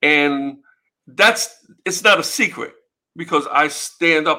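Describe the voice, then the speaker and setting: A man speaks with a New York accent in a bright, sharp tone. His voice is fairly high and shows ordinary pitch variation. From US Northeast, New York City (Bronx), Puerto Rican. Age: 50s. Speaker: music promoter and author. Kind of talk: casual interview.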